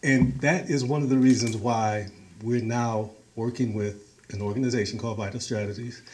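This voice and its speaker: Speaking at a moderate pace with ordinary pitch variation, a man of medium pitch with an American accent is heard with audible room echo. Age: 60s. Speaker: community organizer. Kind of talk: talk to a meeting.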